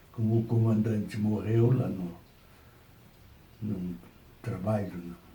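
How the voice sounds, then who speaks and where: A man with a fairly low voice talks at a very slow pace, with ordinary pitch variation. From southern Brazil, Rio Grande do Sul. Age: 80s+. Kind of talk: interview answer. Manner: slow, hesitant.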